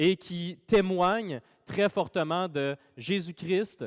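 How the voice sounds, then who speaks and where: On a very clean recording with a silent background, a man speaks at a high pitch in a Quebec accent. The sound is dry and close, with no echo. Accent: Québécois French. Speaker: pastor. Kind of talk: sermon. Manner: casual with many fillers.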